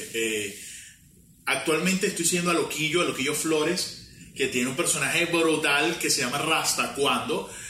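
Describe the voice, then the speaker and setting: With audible room echo and noticeable background noise, a man speaks at a fairly high pitch and a moderate pace, using ordinary pitch variation and very even loudness. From Venezuela, Mérida (Andean). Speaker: podcast co-host. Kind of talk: casual chat. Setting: home recording.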